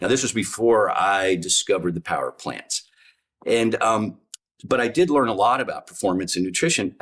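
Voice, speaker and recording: This man has a plain, everyday voice with ordinary pitch variation. He speaks at a fairly quick pace. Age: 60s. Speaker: physician. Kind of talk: interview.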